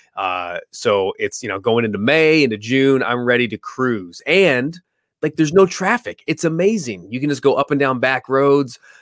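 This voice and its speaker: Recorded very cleanly, dry and close with no echo over a silent background, a man with an American accent speaks at a medium pitch and a moderate pace with very wide pitch swings. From California. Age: 40s. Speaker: seminar organizer and podcaster. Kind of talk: casual interview chat.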